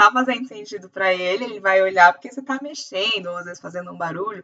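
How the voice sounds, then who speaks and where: Very fast, a woman talks with a bright, sharp tone. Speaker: optometrist teacher. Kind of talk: lecture.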